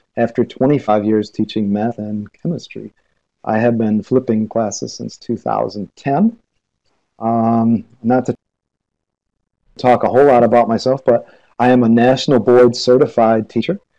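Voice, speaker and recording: A man with a Midwestern accent, medium-pitched, dark and mellow in tone, with fairly even intonation at a fairly slow pace. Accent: American Midwestern. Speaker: teacher. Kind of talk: lecture. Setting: video call.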